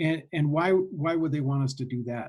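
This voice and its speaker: A somewhat breathy man's voice. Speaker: statistics teacher. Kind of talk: lecture. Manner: slow, deliberate pace; many fillers and restarts.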